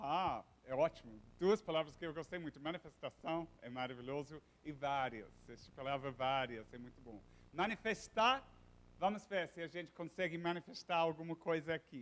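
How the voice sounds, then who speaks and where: A man with a non-native accent speaks at a moderate pace in a fairly high pitch, with lively intonation and big swings in loudness. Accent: foreign accent in Portuguese. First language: English (speaking Portuguese). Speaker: professor. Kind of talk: lecture. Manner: halting.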